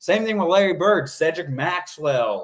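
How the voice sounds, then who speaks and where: A man speaks loudly. His pace is moderate. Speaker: sports talk show host. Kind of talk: solo sports commentary livestream. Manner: animated.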